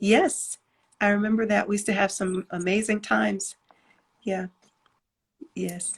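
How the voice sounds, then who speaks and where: Pausing long and often, a woman speaks at a moderate pace in a somewhat breathy, medium-pitched voice with fairly even intonation. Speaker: gospel singer and songwriter. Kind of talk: casual interview. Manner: soft-spoken.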